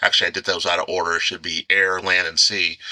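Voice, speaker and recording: The tone is bright and sharp, with a dry, close sound and no echo. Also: man. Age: 50s. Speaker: author and anthology editor. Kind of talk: casual chat.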